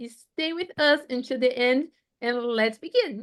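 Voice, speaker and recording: Speaking fairly slowly in a Portuguese accent, a woman uses a high pitch with ordinary pitch variation. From Brazil. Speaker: youth co-host. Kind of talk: webinar presentation. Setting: online event.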